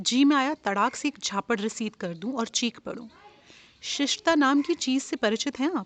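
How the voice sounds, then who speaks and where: Dry and close, the audio carries no echo at all. Its pitch moves up and down in a normal way. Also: woman. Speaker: storyteller. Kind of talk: short story reading. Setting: outdoors, garden with birdsong.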